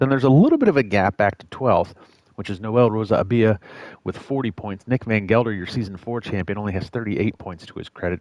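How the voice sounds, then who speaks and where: Talking at a very fast pace with big swings in loudness, a fairly low-pitched man with an American accent is heard in a dry, close recording with no echo. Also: ordinary pitch variation. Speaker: sim racing commentator. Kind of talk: live commentary.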